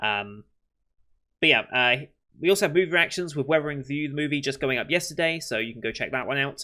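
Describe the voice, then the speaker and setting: A man with a British accent mumbles at a very fast pace in a bright, sharp tone. The recording is very clean, with a silent background. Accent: British, slurred words. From Britain. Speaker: anime reaction youtuber. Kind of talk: casual chat to camera. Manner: mumbling, words blurred together.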